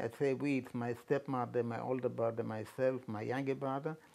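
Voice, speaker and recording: A man speaks at a moderate pace with a medium pitch and a dark, mellow tone. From Poland. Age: 80s+. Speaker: Holocaust survivor and author. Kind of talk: interview. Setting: at his home.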